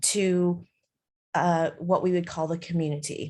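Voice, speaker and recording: A woman with a normal speaking voice, medium pitch and an American accent, at a fairly slow pace, on a very clean recording with a silent background. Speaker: charity executive director. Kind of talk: presentation.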